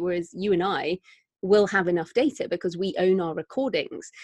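The voice carries a British accent, recorded with a dry, close sound and no echo. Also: woman. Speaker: author and podcaster. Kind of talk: casual interview chat.

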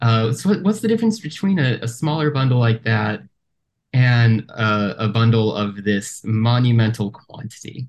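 This man's voice is somewhat breathy and sits at a medium pitch. He talks at a moderate pace with ordinary pitch variation. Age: 30s. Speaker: podcast host. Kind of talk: casual chat. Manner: halting, repeats words.

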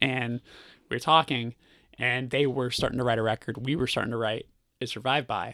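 Very clean recording, silent background: a man with a Californian accent, medium pitch, a bright, sharp tone, monotone, flat intonation and long, frequent pauses. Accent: Californian American. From Burbank, California. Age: 30s. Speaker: musician. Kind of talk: casual chat. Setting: on tour in Chicago.

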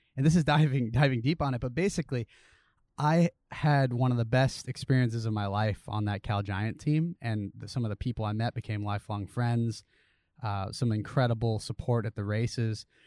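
A man with an American accent and an ordinary speaking voice talks fairly quickly at a medium pitch with ordinary pitch variation, the sound dry and close with no echo on a very clean recording with a silent background. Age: 30s. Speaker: professional cyclist and triathlete. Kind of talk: casual interview chat. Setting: outdoors.

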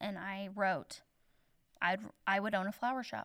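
In a Midwestern American accent, a woman speaks fairly slowly at a medium pitch. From southern Indiana, then Iowa from teens. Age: 30s. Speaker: small-town florist and shop owner. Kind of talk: interview conversation.

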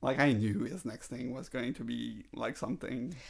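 Speaking at a moderate pace, a man with a medium-pitched voice shows vocal fry. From France. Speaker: video game podcast co-host. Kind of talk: casual chat.

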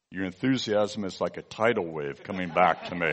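A man with an American accent uses a normal speaking voice. He talks at a fairly slow pace with lively intonation. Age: 60s. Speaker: visiting preacher. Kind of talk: sermon.

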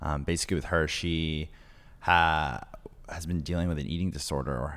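A man's very deep, low-pitched voice with vocal fry, in a very clean recording with a silent background. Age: 20s. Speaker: podcast producer. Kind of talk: casual interview.

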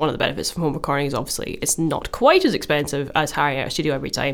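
A woman with a Glaswegian accent talks at a very fast pace in a very deep, low pitch. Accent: Scottish, Glaswegian. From Glasgow, Scotland. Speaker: musician and podcast co-host. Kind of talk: casual chat. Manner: laughs often, chatty.

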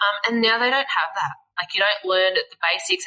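A woman with an Australian accent, ordinary pitch variation, and music in the background. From Australia, Western Australia. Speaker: fashion designer and small business owner. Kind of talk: casual chat.

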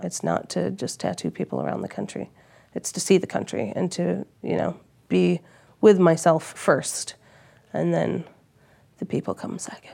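A woman with a very deep, low voice and a dark, mellow tone speaks at a moderate pace with vocal fry, very wide pitch swings, big swings in loudness, and long, frequent pauses. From Australia. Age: 30s. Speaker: tattoo artist. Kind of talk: interview. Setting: campsite lodge.

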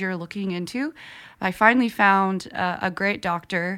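A woman's medium-pitched voice, bright and sharp in tone, with fairly even intonation on a very clean recording with a silent background. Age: 20s. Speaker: podcast host. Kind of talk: casual interview.

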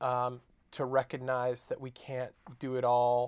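A man with an American accent speaks in a medium pitch. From Long Island, New York. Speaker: author and seminary professor. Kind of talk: casual interview. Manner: hesitant, many fillers.

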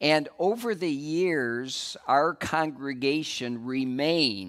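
In a very clean recording with a silent background, a man with an American accent speaks in an unremarkable speaking voice at medium pitch with lively intonation. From West Michigan. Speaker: church leader. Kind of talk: sermon. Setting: church.

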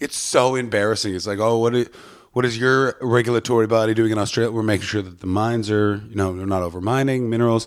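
On a very clean recording with a silent background, a man talks at a very fast pace in an animated tone and a medium pitch. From Ottawa, Canada. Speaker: stand-up comedian. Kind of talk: casual chat. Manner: animated, swears a lot.

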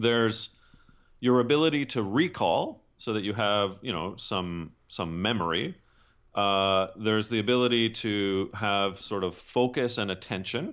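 A man with an ordinary speaking voice and a Canadian accent, fairly low pitch, a fairly slow pace and ordinary pitch variation. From Canada. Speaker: leadership consultant and author. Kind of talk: interview.

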